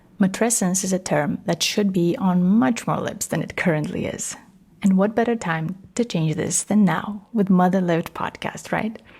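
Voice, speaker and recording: Speaking with a Romanian accent, a woman has a somewhat breathy voice at medium pitch and a warm tone. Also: ordinary pitch variation, moderate pace. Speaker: podcast host, matrescence educator. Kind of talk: solo podcast talk. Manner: warm, conversational.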